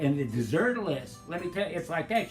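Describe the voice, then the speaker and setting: A high-pitched man, enthusiastic in tone and fairly quick in pace, over music in the background. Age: old. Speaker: retirement community resident. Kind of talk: testimonial interview answer. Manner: casual, chatty, enthusiastic.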